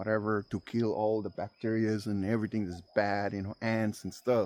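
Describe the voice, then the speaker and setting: In a non-native accent, a man speaks with a fairly low pitch and a dark, mellow tone. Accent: non-native English, self-described. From immigrant, foreign-born. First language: not English (fourth language). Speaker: farmer and homesteading vlogger. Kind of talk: outdoor farming tutorial vlog. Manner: casual, halting with fillers.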